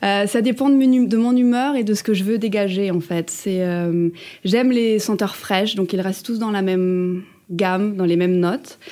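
At a fairly slow pace, a woman speaks in a dark, mellow tone at a medium pitch with ordinary pitch variation. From France, Ardennes (Charleville-Mézières). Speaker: cabaret dancer. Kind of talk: interview. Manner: hesitant, many fillers.

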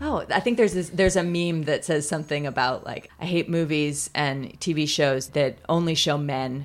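This woman's pitch is very deep and low, with a Californian accent. Her pitch moves in an ordinary way. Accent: Californian American. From Pasadena, Southern California. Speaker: museum curator and historian. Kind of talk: casual interview conversation. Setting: outdoors.

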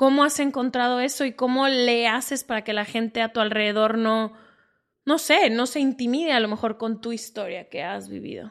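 Over a quiet background, a woman in an unremarkable speaking voice talks at a moderate pace with fairly high pitch and ordinary pitch variation. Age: 30s. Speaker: podcast host. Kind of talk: casual chat.

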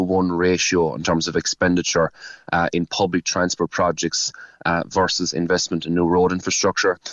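A man's very deep, low voice in a Cork accent. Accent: Cork Irish. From Cork East, Ireland. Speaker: local politician. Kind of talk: radio interview. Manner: halting, repetitive.

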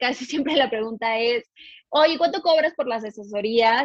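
A woman pitched fairly high talks in an unremarkable speaking voice. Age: 20s. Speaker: financial advisor. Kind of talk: podcast interview.

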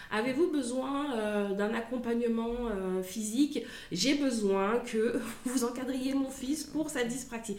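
A very slow delivery with ordinary pitch variation, audible room echo and noticeable background noise. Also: woman, high pitch for a woman. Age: 30s. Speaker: mother of a child with dyspraxia. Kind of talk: testimony. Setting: at the guest's home. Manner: halting.

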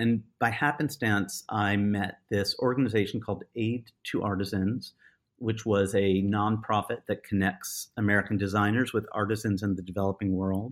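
A man talks at a medium pitch in a plain, everyday voice. The recording is very clean, with a silent background. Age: 50s. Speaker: potter and designer. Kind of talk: casual chat.

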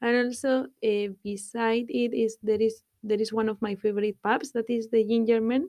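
A woman with a dark, mellow tone and a fairly high pitch talks with fairly even intonation and hardly any pauses. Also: moderate pace. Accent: Spanish. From Spain, Guadalajara. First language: Spanish. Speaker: guest, Spanish expat. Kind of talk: casual interview. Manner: halting.

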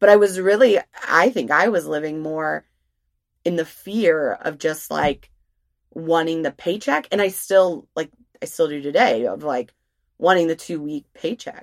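A woman with an ordinary speaking voice, fairly low in pitch, at a fairly slow pace with lively intonation, in a dry, close sound with no echo. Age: 30s. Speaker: podcast co-host, parent. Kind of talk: casual chat.

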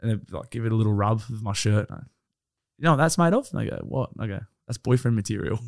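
In a dry, close sound with no echo, a man talks at a very fast pace with ordinary pitch variation. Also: medium pitch for a man. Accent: Australian. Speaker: podcast guest. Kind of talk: casual chat.

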